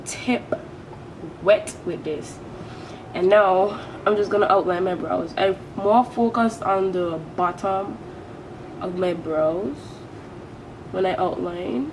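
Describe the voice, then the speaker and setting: A woman with a Caribbean accent and a medium pitch talks at a very slow pace with long, frequent pauses over noticeable background noise. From British Virgin Islands. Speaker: beauty vlogger. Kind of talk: makeup tutorial. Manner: casual, chatty.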